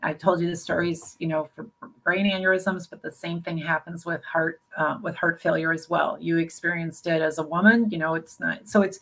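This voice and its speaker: A woman speaks at a fairly quick pace in a plain, everyday voice, fairly low in pitch, with fairly even intonation and big swings in loudness. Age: 60s. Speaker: brain aneurysm survivor and health advocate. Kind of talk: interview. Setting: live video stream.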